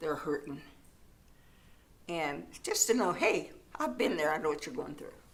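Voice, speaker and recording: At a moderate pace, a woman's voice swings very widely in pitch. Room echo is audible. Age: 80s+. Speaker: church ministry volunteer, widow. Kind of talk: interview.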